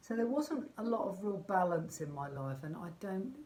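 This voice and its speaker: The speaker has a southern English accent and a somewhat breathy sound. The pace is moderate, and room echo is audible. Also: woman. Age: 60s. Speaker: life coach. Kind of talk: motivational vlog talk. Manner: conversational, with fillers.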